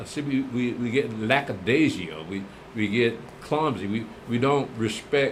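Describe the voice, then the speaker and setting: A man talks at a fairly slow pace in a medium pitch, with ordinary pitch variation. Noticeable background noise and audible room echo fill the recording. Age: old. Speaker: religious teacher. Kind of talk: Bible class answering viewer comments. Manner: casual, conversational.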